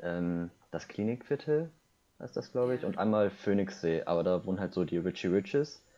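A man with a very deep, low pitch and a dark, mellow tone speaks at a moderate pace. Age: 20s. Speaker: podcast guest, university student. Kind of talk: casual chat.

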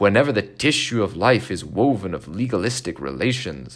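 Vocal fry at a moderate pace, in a very clean recording with a silent background. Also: man. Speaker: podcast host reading a speech aloud. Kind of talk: formal reading aloud of a 1970s commencement address, measured and solemn.

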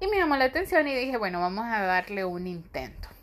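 A woman against a quiet background. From Honduras. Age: 30s. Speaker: podcast host, medical student. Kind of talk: casual solo monologue.

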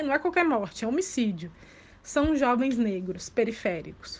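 A woman is speaking. Her voice sits high in pitch. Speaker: journalist and law doctoral student. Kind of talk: interview.

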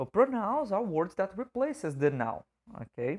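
A man with a Portuguese accent speaks with very wide pitch swings. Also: dry, close sound with no echo, very clean recording, silent background. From Brazil. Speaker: English teacher. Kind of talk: educational podcast monologue. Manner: casual, frequent fillers.

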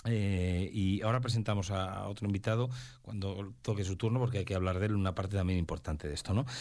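A man talks fast at a low pitch, his tone slightly mellow and his intonation fairly even.

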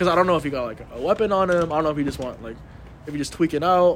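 A man with an American accent talks at a very fast pace in a fairly high voice with ordinary pitch variation. Noticeable background noise runs underneath. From Los Angeles. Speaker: college student podcast co-host. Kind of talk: casual chat.

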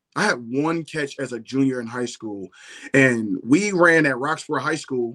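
Over a quiet background, a man talks at a moderate pace with a bright, sharp tone, medium pitch and ordinary pitch variation. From Philadelphia. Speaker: former pro football player. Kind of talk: interview. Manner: casual, slangy.

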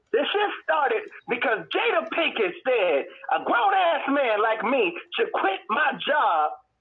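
Over noticeable background noise, a man speaks at an extremely high pitch with very wide pitch swings. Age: 30s. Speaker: military veteran and podcast co-host. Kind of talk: casual chat. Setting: in a car.

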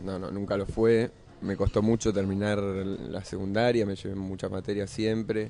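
A man speaks at a fairly low pitch and a moderate pace. He has an ordinary speaking voice with fairly even intonation. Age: 30s. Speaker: actor and musician. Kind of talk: interview. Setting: radio studio cafe.

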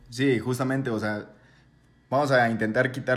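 A plain, everyday voice talks at a fairly quick pace. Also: man. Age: 20s. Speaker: podcast co-host. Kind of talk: casual chat.

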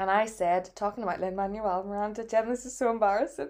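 With a Northern Irish accent, a woman talks at a fairly quick pace, her fairly high pitch carrying a dark, mellow tone and fairly even intonation. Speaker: podcast co-host. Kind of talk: casual chat.

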